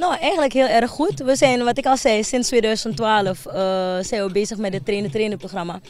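Her pitch swings very widely as the woman speaks at a moderate pace, and the sound is dry with no echo. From Suriname, Wanica district; Suriname. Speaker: foundation director. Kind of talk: TV news interview. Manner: halting, with many fillers. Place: open country. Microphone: handheld.

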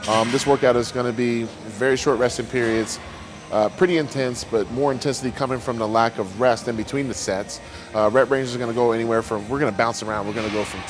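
With clear music in the background, a man talks at a fairly quick pace and with fairly even intonation. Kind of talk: casual vlog chat. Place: gym. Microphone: lapel.

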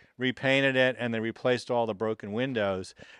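A man talks with ordinary pitch variation. The sound is dry with no echo, and the background is quiet. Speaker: museum guide in conductor uniform. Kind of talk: interview answer. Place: workshop. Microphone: handheld.

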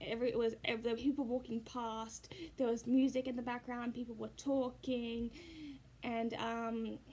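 At a moderate pace, a woman speaks in a high pitch. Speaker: puppeteer vlogger. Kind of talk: casual vlog chat. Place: home room. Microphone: phone near.

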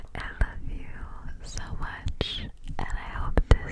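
A woman whispering at a very slow pace, in a dry sound with no echo, over loud background noise. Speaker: ASMR creator. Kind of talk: soft ASMR chat. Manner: tender whisper into cupped hands. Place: office. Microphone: studio mic.

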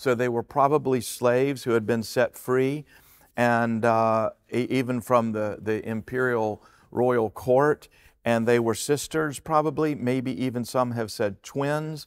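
With a quiet background, the man keeps fairly even intonation and a fairly slow pace. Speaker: pastor, preacher. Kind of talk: sermon, Bible teaching to a congregation. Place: stage. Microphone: headset.

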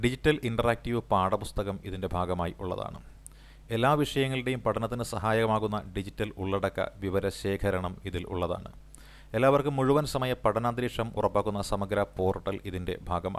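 Fairly low in pitch, a man talks in an ordinary speaking voice with ordinary pitch variation. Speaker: exam coaching teacher. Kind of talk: lecture. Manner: repetitive, dictation-like pacing.

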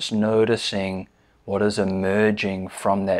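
Soft-spoken and calm, a man with a gentle tone talks at a fairly slow pace in a fairly low pitch, his intonation monotone and flat. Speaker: meditation teacher. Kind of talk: guided body scan meditation, slow step-by-step cues through the body. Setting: seated in a chair, recorded video. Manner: calm, gentle, soothing cadence with soft repeated invitations like 'just'; hesitant filler-laden intro with frequent 'um'. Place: home room.

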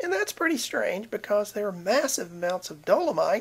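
In a southern Appalachian accent, a woman talks at a fairly quick pace. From southern Appalachia, US. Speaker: video blogger. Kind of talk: casual talk to camera, science commentary. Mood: wry, sarcastic. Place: home room. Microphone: webcam.

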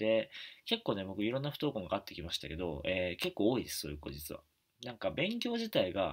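Fairly quick speech with vocal fry, very wide pitch swings and big swings in loudness, over a quiet background. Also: man. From Japan, Wakayama; Japan. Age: 20s. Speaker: YouTuber and author; education vlogger. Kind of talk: casual talk to camera. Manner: many fillers, halting. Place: home room. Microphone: webcam.

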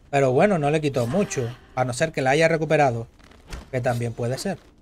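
A man talks at a fairly quick pace. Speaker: gaming streamer and tournament caster. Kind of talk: live commentary. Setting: live stream. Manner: animated.

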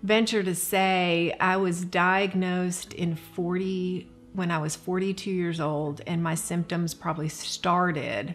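A woman's fairly low, monotone, flat voice at a fairly slow pace, with faint music in the background. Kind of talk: interview answer. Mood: warm, candid, reflective. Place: home room.

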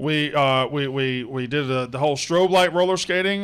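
Speaking in a plain, everyday voice, a man with an American accent has a fairly high pitch and ordinary pitch variation. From US South. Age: 40s. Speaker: podcast host. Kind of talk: casual chat. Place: studio. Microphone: studio mic.

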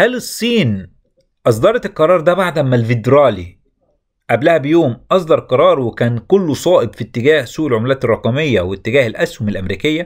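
The speaker talks at a moderate pace with an Egyptian accent and very wide pitch swings. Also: man, fairly high pitch for a man. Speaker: crypto YouTuber. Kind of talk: market commentary.

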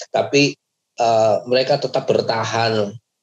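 A man speaks against a quiet background. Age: 40s. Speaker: pastor. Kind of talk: motivational talk to youth group. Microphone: earbuds.

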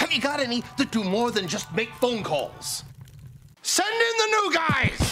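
Over music in the background, a raised, projected voice moves at a fairly slow pace with very wide pitch swings. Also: man. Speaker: voice actor. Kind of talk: TV commercial read.

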